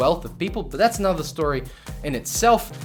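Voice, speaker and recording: With an Australian accent, a man speaks at a fairly quick pace and with lively intonation. Music plays in the background. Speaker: tech YouTuber. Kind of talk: casual talk to camera.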